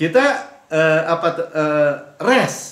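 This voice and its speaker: With audible room echo, a man speaks in very wide pitch swings. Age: 50s. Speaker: pastor. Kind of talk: sermon. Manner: animated.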